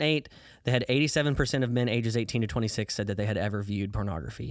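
A man with an American accent at medium pitch, very fast, with ordinary pitch variation, on a very clean recording with a silent background. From US Midwest, southern Illinois. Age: 20s. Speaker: ministry worker. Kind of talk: testimony.

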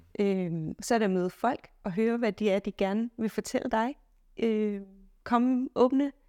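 With an ordinary speaking voice, a woman talks at a fairly slow pace in a fairly high pitch with ordinary pitch variation, recorded very cleanly against a silent background in a dry, close sound with no echo. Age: 30s. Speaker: physicist and solo traveller. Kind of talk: interview.

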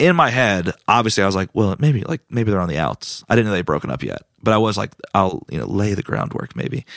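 A man talks in a normal speaking voice, fairly low in pitch, at a moderate pace. The recording is very clean with a silent background and a dry, close sound with no echo. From US South, Raleigh, North Carolina. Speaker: comedian. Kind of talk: casual chat.

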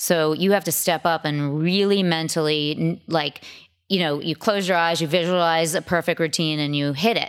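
Fairly low-pitched, a woman with an American accent uses an unremarkable speaking voice at a moderate pace with fairly even intonation, on a very clean recording with a silent background. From Massachusetts, Boston suburbs. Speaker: fitness coach and masters athlete. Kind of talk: interview.

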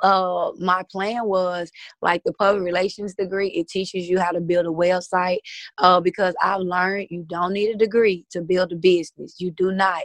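The sound is dry and close, with no echo. A woman speaks at a moderate pace and medium pitch, with monotone, flat intonation. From Mississippi. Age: 30s. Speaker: entrepreneur. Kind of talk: interview.

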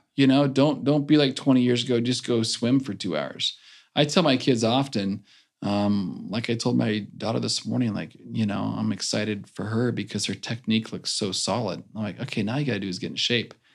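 Vocal fry runs through this man's medium-pitched voice. He moves at a fairly quick pace with ordinary pitch variation. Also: very clean recording, silent background. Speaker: former Olympic swimmer. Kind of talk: casual interview.

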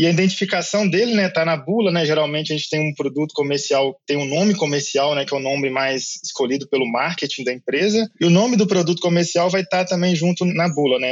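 The speech runs at a fairly quick pace with ordinary pitch variation and hardly any pauses. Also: man, high pitch for a man. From Brazil, Minas Gerais. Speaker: agronomist and university professor. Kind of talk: interview about herbicides.

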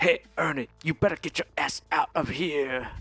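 A put-on character voice moves at a moderate pace in a middle pitch. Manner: menacing, threatening.

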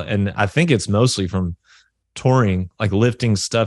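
With a Southern US accent, a man with a fairly low pitch talks at a moderate pace over a quiet background. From US South. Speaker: metal musician. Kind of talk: interview. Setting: video call.

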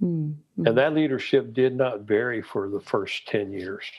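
A man with a Texan accent talks with ordinary pitch variation. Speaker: missionary and disciple-making trainer. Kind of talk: interview, storytelling.

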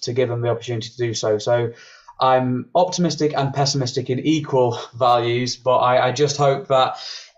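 Medium-pitched, somewhat breathy male speech, fairly even in intonation and moderate in pace. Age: 20s. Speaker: brass musician. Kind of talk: interview. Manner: halting.

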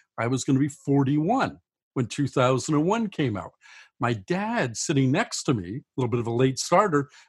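A somewhat breathy man at a fairly high pitch, with very wide pitch swings. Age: 60s. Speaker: science fiction author. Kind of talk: interview.

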